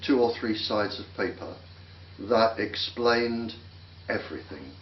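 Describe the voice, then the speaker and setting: A man's medium-pitched voice with an English accent, fairly slow, in audible room echo. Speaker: microwave weapons expert. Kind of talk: interview.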